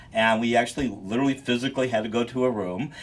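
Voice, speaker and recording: A man with an American accent talks at a very fast pace in a medium pitch. Noticeable background noise runs underneath. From United States. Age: 60s. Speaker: photojournalist and researcher. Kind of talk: interview.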